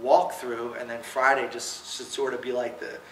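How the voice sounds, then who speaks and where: Spoken at a moderate pace with an American accent, the clip carries noticeable background noise and audible room echo. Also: man. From New Jersey. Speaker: kicking coach. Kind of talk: coaching clinic lecture. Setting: clinic presentation to coaches. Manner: casual, many fillers.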